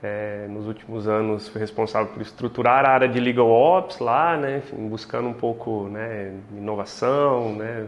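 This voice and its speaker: A man speaks at a fairly slow pace with a São Paulo countryside accent. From interior of São Paulo state, near Minas Gerais. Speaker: legal tech executive, co-host. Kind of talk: casual interview chat. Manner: relaxed, hesitant with fillers.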